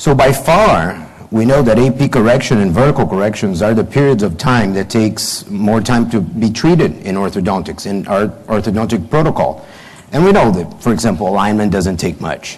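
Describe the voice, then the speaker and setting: Amid noticeable background noise and audible room echo, a man with a Brazilian Portuguese accent speaks in a fairly low voice with lively intonation. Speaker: orthodontist and professor. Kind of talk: conference lecture. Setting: conference hall with audience. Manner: hesitant, many fillers.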